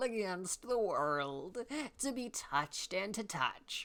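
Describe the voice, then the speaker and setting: A man uses a put-on character voice, raised and projected, at a fairly slow pace. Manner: grand, authoritative, expecting attention.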